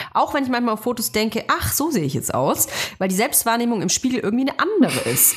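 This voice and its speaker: A woman races along at a very fast pace, her pitch fairly high, with noticeable background noise throughout. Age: 30s. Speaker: podcast host. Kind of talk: casual chat.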